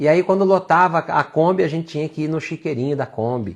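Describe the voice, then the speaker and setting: A man talks fairly quickly with ordinary pitch variation, the background quiet. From Brazil, São Paulo city. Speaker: faith and work speaker. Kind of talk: live talk, personal testimony. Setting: livestream.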